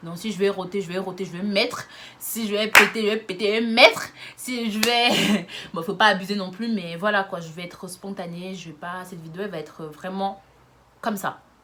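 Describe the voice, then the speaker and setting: A woman sounds animated at a medium pitch, her loudness swinging widely over noticeable background noise. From France, Lyon. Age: 20s. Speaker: YouTuber. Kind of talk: casual vlog monologue. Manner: fast.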